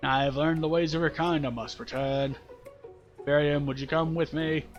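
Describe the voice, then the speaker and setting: A put-on character voice with clear music in the background. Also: man, fairly high pitch for a man, moderate pace. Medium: game stream. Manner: stiff, formal.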